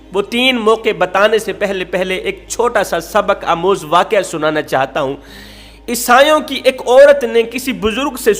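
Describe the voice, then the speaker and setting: With music in the background, a man speaks in a high pitch. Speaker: Islamic preacher. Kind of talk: Islamic sermon (bayan) telling a moral story.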